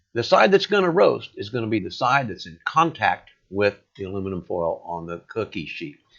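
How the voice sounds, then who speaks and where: A man speaks at a moderate pace with hardly any pauses and big swings in loudness. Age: 60s. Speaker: home cook sharing recipes. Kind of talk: cooking tutorial. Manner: casual, with filler words.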